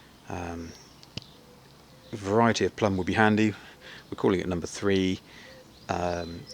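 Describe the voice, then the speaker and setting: The speaker has a British accent and a monotone, flat intonation. The pace is moderate, with long, frequent pauses. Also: man, very deep, low pitch for a man. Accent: British accent, noticeable. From UK. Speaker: amateur gardener vlogger. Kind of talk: casual walkthrough vlog. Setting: outdoors in garden. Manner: halting, many fillers.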